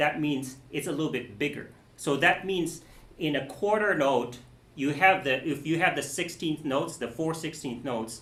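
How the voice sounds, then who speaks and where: There is audible room echo as a man speaks in a fairly high pitch. His pace is moderate, with ordinary pitch variation. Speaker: music teacher giving a masterclass. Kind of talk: masterclass teaching.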